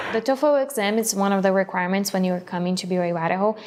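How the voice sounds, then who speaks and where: In a Portuguese accent, a woman speaks at a medium pitch with fairly even intonation. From Brazil. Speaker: international student. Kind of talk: documentary interview.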